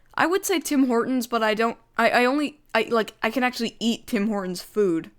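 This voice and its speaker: This woman has an unremarkable speaking voice with a Canadian accent. Her pace is moderate, her pitch varies in an ordinary way, and the recording is very clean with a silent background. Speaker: YouTuber. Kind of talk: livestream Q&A chat. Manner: casual, filler-heavy.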